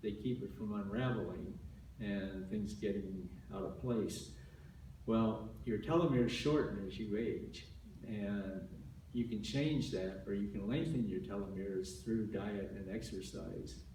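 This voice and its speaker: The speech comes at a fairly slow pace with lively intonation. Audible room echo and noticeable background noise are present. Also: man, fairly low pitch for a man. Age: 70s. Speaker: health talk speaker. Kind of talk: talk to an audience. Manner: halting, many repeated words.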